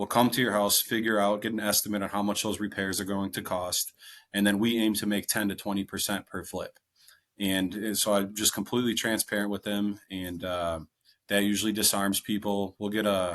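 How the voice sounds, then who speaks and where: Against a quiet background, a man with a slight Wisconsin accent talks at a fairly quick pace, his fairly low pitch monotone and flat. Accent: slight local Wisconsin. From Wisconsin, US. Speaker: real estate investor. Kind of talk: interview.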